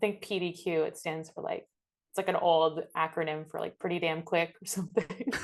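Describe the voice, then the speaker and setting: Using an ordinary speaking voice, a woman with an American accent talks fairly quickly, her fairly low pitch held in fairly even intonation. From New York City. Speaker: comedian and violist. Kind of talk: interview.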